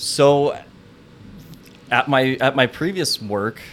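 This is a man speaking. He has an American accent. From Washington state, US. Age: 30s. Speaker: plumbing business owner and athlete. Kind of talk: interview.

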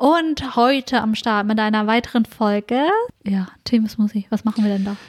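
A woman talks at a moderate pace in a plain, everyday voice, pitched fairly high with ordinary pitch variation. The sound is dry and close, with no echo. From northern Germany, Ostfriesland. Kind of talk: casual chat.

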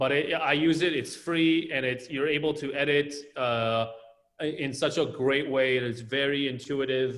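Audible room echo surrounds a man with a fairly high pitch who speaks with fairly even intonation. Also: moderate pace. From Israel, Tel Aviv. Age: 40s. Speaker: architect. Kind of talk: interview.

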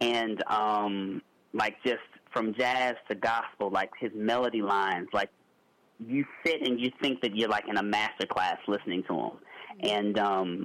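Fairly even intonation and a moderate pace in a man's fairly low-pitched, unremarkable speaking voice. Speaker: singer. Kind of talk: interview.

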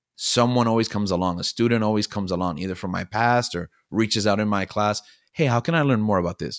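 A man with an American accent has an unremarkable speaking voice, fairly low in pitch with ordinary pitch variation. The sound is dry and close with no echo, a very clean recording with a silent background. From Miami, Florida. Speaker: high school teacher. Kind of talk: casual chat.

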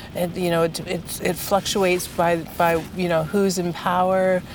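Monotone, flat intonation from a woman, against noticeable background noise. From Ontario, Canada (Peterborough). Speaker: art curator and gallery director. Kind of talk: interview. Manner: halting, many repetitions.

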